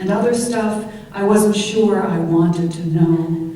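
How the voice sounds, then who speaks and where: At a very slow pace, a woman speaks with ordinary pitch variation over noticeable background noise. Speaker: poet. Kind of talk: poetry reading.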